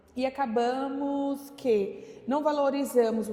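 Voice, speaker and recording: A woman speaks at a high pitch with ordinary pitch variation. Noticeable background noise sits under her voice. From São Paulo, Brazil. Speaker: community association president. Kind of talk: documentary interview.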